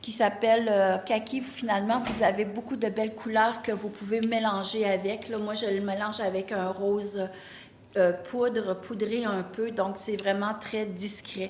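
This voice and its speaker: Through noticeable background noise and audible room echo, a woman speaks at a fairly slow pace in a fairly high pitch with monotone, flat intonation. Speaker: boutique owner. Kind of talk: sales pitch. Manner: hesitant, with fillers.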